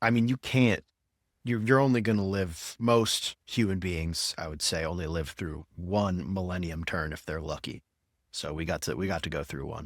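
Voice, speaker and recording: In a very clean recording with a silent background and a dry, close sound with no echo, a man with a very deep, low pitch speaks at a moderate pace with lively intonation. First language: Spanish. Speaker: podcast host, marketing professional. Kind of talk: casual chat.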